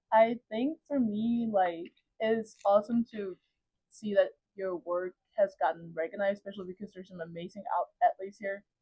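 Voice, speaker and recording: Here a woman speaks at a moderate pace and medium pitch, somewhat breathy, with ordinary pitch variation and big swings in loudness. The sound is dry and close, with no echo. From Cameroon and Denmark. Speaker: college volleyball player. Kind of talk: interview. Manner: casual, hesitant with fillers.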